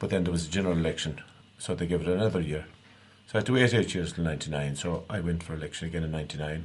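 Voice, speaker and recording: Talking very fast in a west of Ireland accent, a man speaks at a very deep, low pitch with ordinary pitch variation. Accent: rural west of Ireland (Clare) Irish. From Ireland, East Clare. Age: 50s. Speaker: local councillor. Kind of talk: radio interview. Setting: radio studio.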